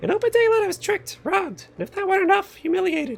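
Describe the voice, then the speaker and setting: Over faint music in the background, a man rattles off lines at a very fast pace in a put-on character voice. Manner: outraged, demanding.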